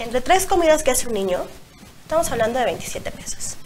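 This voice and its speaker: A woman's high-pitched voice with very wide pitch swings, over light background noise. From Mexico. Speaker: blogger and single mother; talk show guest. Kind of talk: interview. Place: studio.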